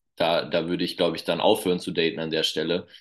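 Against a quiet background, a man speaks in a very deep, low pitch. He keeps a moderate pace. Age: 20s. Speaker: children's pastor. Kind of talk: casual interview.

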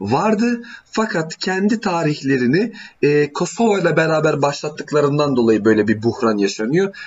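A man speaks at a moderate pace in a fairly high pitch. His loudness stays very even while his pitch swings very widely. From Albanian family roots (Kosovo and southern Albania). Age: 20s. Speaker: mechanical engineer, guest speaking on Albanian history. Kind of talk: casual chat.

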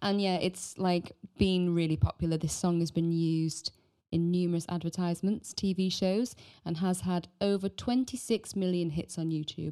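Speaking with a British accent, a woman uses a fairly low pitch and a dark, mellow tone. Her intonation stays fairly even at a moderate pace. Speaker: podcast host. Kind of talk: casual chat.

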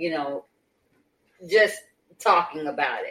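A woman speaks with an American accent. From Detroit, Michigan. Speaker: podcast host. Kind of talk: casual chat. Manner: halting, many fillers.

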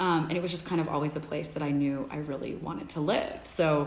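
A woman's very deep, low voice at a fairly quick pace, with audible room echo and noticeable background noise. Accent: American. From Texas, Dallas. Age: 30s. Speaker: wellness studio marketing head. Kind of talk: casual interview chat.

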